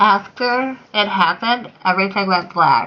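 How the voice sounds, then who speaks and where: A woman mumbles at a medium pitch. Her pitch varies in an ordinary way. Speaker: gunshot survivor. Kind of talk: testimony. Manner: mumbly speech with facial prosthetic.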